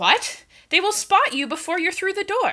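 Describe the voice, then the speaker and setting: Here a woman puts on a character voice. It is extremely high in pitch and comes at a moderate pace. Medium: read story.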